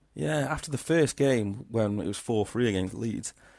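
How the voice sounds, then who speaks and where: A man's medium-pitched voice with a dark, mellow tone at a moderate pace, on a very clean recording with a silent background. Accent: Liverpool. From Crewe, Cheshire, northwest England. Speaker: football podcast co-host. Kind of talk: casual chat.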